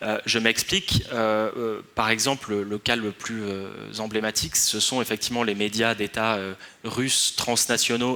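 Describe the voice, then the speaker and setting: This man has a medium pitch. He talks at a fairly slow pace. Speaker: researcher on influence strategies. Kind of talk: conference talk. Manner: hesitant, many fillers.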